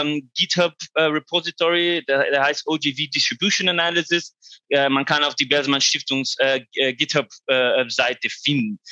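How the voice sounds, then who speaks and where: Bright and sharp in tone, a man with a non-native accent speaks fairly slowly at a fairly high pitch with ordinary pitch variation, in a dry, close recording with no echo and a quiet background. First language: not German (speaking German). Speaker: researcher at a foundation. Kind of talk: conference presentation. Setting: online conference. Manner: halting, many fillers.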